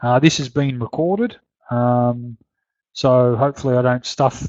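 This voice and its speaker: Mumbling at a moderate pace, a man with a medium-pitched voice speaks in an Australian accent. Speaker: horse racing betting tipster. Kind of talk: webinar Q&A. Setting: live webinar. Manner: halting, many fillers.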